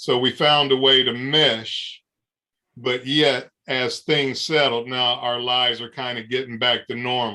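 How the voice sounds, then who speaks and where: A man talks at a fairly slow pace in an American accent. His tone is bright and sharp, with monotone, flat intonation. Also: medium pitch for a man. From Ohio, US Midwest. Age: 60s. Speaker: adoptee sharing his story. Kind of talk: interview. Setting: video call.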